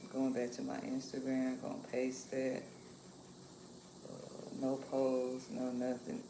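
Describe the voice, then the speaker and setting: A woman speaks at a very slow pace in a very deep, low pitch, with monotone, flat intonation and long, frequent pauses, over noticeable background noise and audible room echo. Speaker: livestreamer sharing lifestyle and cooking reflections. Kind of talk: casual livestream chat while cooking. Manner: soft-spoken, keeping quiet.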